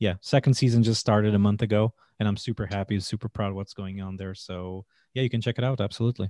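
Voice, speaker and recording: Dry and close with no echo on a very clean recording with a silent background, a man's dark, mellow, fairly low voice moves at a very fast pace with fairly even intonation. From Portugal. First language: Portuguese. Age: 30s. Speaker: chef. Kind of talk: interview.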